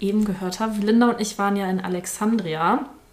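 Using an ordinary speaking voice, a woman of medium pitch talks with fairly even intonation. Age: 20s. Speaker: podcast guest, friend of host. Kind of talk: casual chat.

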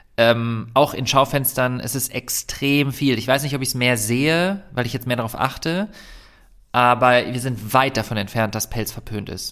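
A man with a plain, everyday voice talks at a moderate pace and medium pitch, with ordinary pitch variation. The recording is very clean, with a silent background. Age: 30s. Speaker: vegan activist and YouTuber, former doctor. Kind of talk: casual interview.

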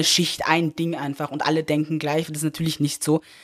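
A man with a fairly high pitch talks at a fairly quick pace in a very clean recording with a silent background and a dry, close sound with no echo. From Upper Austria (Linz). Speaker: rapper and activist. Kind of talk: casual chat.

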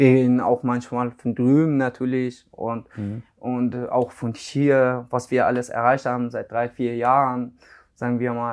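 A man's medium-pitched voice, very slow and monotone with flat intonation. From Iran, Afghan family. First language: Dari/Persian (speaking German). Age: 20s. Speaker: car body mechanic. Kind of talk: interview. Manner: halting, many fillers.

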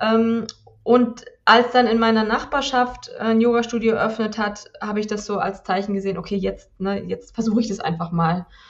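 A woman's normal speaking voice, fairly high-pitched, at a moderate pace with fairly even intonation. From southern Germany. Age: 40s. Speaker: yoga teacher. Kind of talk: interview.

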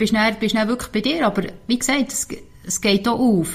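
A woman with a Swiss accent, at a medium pitch with ordinary pitch variation and a very fast pace. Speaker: marathon runner. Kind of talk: interview. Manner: halting.

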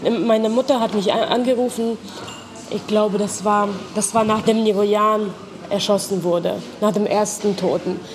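A woman talks at a fairly slow pace and fairly high pitch. Noticeable background noise is present. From Ukraine (Lutsk, northwest). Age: 30s. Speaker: NGO worker, former student protester. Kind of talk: personal testimony interview. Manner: hesitant, with fillers.

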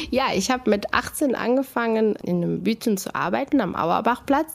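A woman speaks in a fairly high voice at a moderate pace, with lively intonation. It is a normal speaking voice. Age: 40s. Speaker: kiosk owner. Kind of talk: casual interview.

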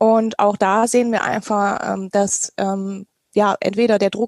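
Here a woman speaks at a fairly high pitch. The sound is dry and close, with no echo. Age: 30s. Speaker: teacher and party policy member. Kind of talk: podcast interview. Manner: hesitant, many fillers.

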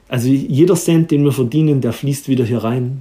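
A man talks at a fairly quick pace. His voice is somewhat breathy, with a dark, mellow tone. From Erzgebirge, Saxony. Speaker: chef and restaurant owner. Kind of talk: interview.

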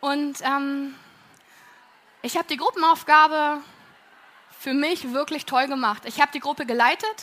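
A woman speaks in a raised, projected voice, high in pitch. Her pace is moderate and her pitch variation ordinary. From Berlin, Germany. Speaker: plant manager. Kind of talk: talk to an audience. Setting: auditorium with audience.

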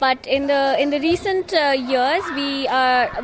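A woman with a high pitch and ordinary pitch variation is heard over noticeable background noise. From India. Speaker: media program officer and marketing manager. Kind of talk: interview. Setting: journalism festival venue.

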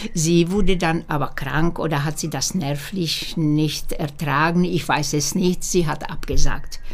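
A woman speaks at a fairly slow pace in a fairly low pitch. Room echo is audible, and background noise is noticeable. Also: fairly even intonation, hardly any pauses. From Slovakia, Bratislava. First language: Slovak (speaking German). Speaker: opera singer. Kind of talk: interview. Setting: at home. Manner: halting.

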